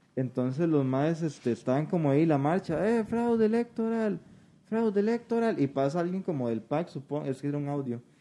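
This man's voice is fairly high in pitch with a dark, mellow tone. His pitch swings very widely. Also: fairly quick pace. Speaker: podcast co-host. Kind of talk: casual chat.

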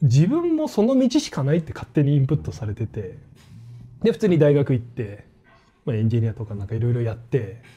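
A man's medium-pitched voice, dark and mellow, somewhat breathy, with a fairly quick pace and lively intonation. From Australia. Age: 40s. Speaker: football YouTuber. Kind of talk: casual interview.

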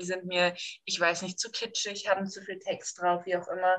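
A woman talks at a fairly quick pace in a plain, everyday voice. Her pitch sits in the medium range. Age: 20s. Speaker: online community admin. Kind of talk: casual chat.

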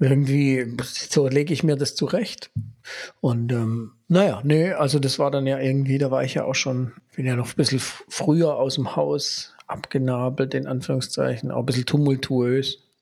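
An ordinary speaking voice from a man, medium in pitch, with fairly even intonation at a moderate pace. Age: 40s. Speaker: podcast host, father and former history teacher. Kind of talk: casual chat.

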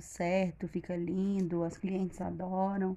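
A woman's medium-pitched voice is somewhat breathy, with a dark, mellow tone. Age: 30s. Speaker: baker. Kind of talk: casual interview.

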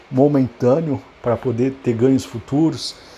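A man at medium pitch and a moderate pace. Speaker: podcaster. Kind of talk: unscripted solo monologue. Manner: halting, many filler repetitions.

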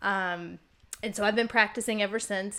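With an American accent, a woman speaks in a bright, sharp tone at medium pitch with ordinary pitch variation. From Virginia, US South. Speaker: clinical herbalist and shamanic healer. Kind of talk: casual interview.

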